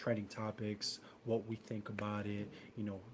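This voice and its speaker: In a New York accent, a man speaks at a medium pitch. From New York, Bronx. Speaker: podcast co-host. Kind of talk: casual chat.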